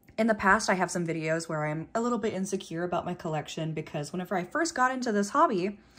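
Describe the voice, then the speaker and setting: A woman speaks at a very fast pace with hardly any pauses. Her intonation is lively. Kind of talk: casual vlog chat. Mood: cheerful, self-deprecating.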